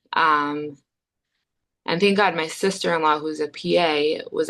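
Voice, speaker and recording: The speech moves at a fairly slow pace with ordinary pitch variation. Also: woman. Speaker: therapist. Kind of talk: personal testimony.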